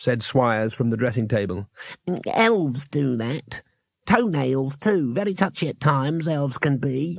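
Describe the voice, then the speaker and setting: A man performs a put-on character voice. His pitch is medium and his pace moderate. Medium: read story.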